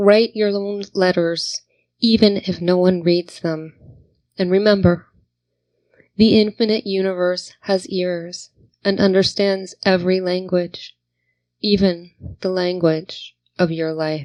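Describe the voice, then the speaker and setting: A woman with an American accent speaks at a very slow pace. Her speech has long, frequent pauses. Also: medium pitch for a woman, fairly even intonation. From New Jersey and Virginia (American). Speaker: poet. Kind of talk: spoken word poetry reading.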